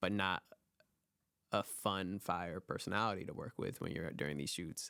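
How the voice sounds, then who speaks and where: A man speaks with a very deep, low pitch. His tone is bright and sharp. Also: moderate pace. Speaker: photographer and filmmaker. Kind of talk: casual chat. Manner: monotone; reserved.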